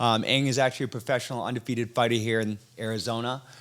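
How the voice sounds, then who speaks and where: A man with an American accent, medium pitch, a bright, sharp tone and a fairly quick pace. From Massachusetts, US (came from Thailand at five). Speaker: podcast host. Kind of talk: casual interview chat.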